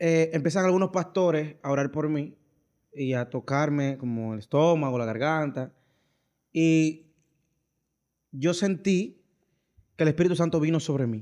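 A man's fairly high pitch with a dark, mellow tone, ordinary pitch variation, a fairly slow pace, long, frequent pauses, and a quiet background. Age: 20s. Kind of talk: casual chat.

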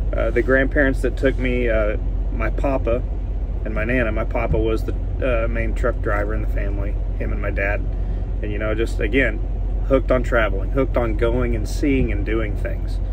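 A man speaks amid noticeable background noise. The sound is dry with no echo. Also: moderate pace. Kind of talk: casual vlog chat. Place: car. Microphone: phone near.

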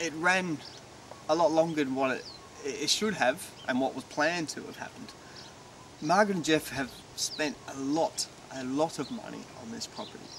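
A moderate pace in a dry sound with no echo, plus noticeable background noise. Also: man. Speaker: TV presenter. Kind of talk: presenter piece to camera. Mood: warm, admiring. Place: garden. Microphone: lapel.

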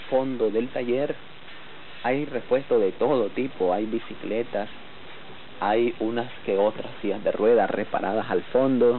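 The speech goes at a fairly slow pace. Its intonation stays fairly even. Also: man. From Nicaragua (Managua). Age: 30s. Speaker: wheelchair mechanic, double amputee. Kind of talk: documentary interview.

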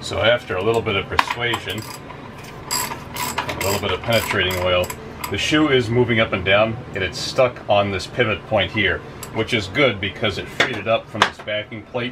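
A man holds a moderate pace while noticeable background noise carries on. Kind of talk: tutorial. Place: workshop. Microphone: camera far.

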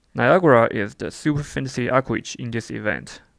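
A man with a non-native accent speaks at a medium pitch, with vocal fry and ordinary pitch variation. The recording is very clean, with a silent background. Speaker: mobile game reviewer. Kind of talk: game event review narration.

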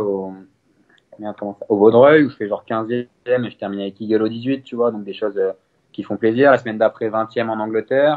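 In a plain, everyday voice, a man talks at medium pitch and a fairly quick pace with fairly even intonation. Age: 20s. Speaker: professional golfer. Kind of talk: interview.

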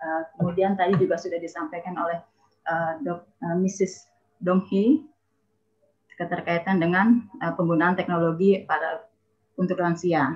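Somewhat breathy, a woman speaks in a fairly low pitch at a moderate pace with ordinary pitch variation and long, frequent pauses against a quiet background. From Indonesia. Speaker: university dean; webinar presenter. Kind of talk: webinar presentation. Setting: video call. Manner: formal. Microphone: video call.

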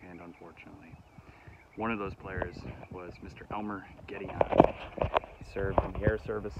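A man talks at a moderate pace with long, frequent pauses. Loud background noise is present, and the sound is dry with no echo. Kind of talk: casual vlog chat. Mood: respectful, reflective. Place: open country. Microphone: phone near.

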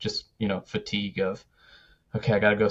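A man talks at a moderate pace. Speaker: podcast co-host. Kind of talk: casual podcast discussion. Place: home room. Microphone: studio mic.

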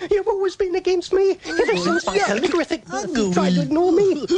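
Cartoonish character voice at an extremely high pitch. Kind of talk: comic animated character. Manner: boastful, defiant, wisecracking.

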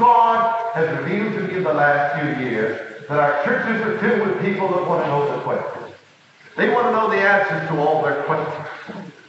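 With strong room echo and light background noise, a high-pitched man speaks at a moderate pace with lively intonation. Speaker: preacher. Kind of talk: sermon. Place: church. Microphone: old recording.

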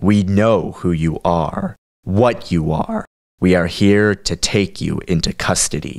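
Using a put-on character voice, a man speaks at a very deep, low pitch with fairly even intonation. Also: moderate pace. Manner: curt, stern, commanding.

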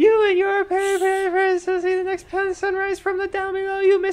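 In a put-on character voice, the pitch is extremely high. The intonation stays monotone and flat at a moderate pace. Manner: theatrical, archaic-sounding.

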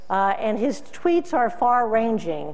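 The woman talks at a fairly slow pace. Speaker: keynote speaker, agricultural news publisher. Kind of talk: keynote speech. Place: hall.

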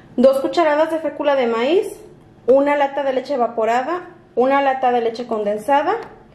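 In a room with audible echo, a woman talks at a high pitch and a moderate pace with ordinary pitch variation. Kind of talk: tutorial. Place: kitchen. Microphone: camera far.

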